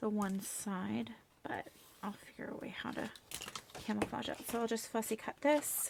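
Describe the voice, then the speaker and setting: Whispering and mumbling, a woman leaves long, frequent pauses over noticeable background noise. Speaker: crafting vlogger. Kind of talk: casual crafting chat. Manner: calm, unhurried.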